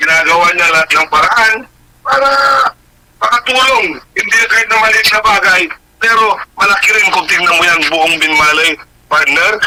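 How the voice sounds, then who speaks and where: A man's raised, projected voice at a high pitch, with lively intonation, very even loudness and noticeable background noise. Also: moderate pace. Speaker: radio co-host. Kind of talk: casual radio talk.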